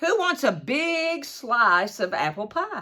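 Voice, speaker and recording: A put-on character voice, female-sounding and high-pitched for a woman, moves through very wide pitch swings at a fairly slow pace. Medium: read story. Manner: scolding.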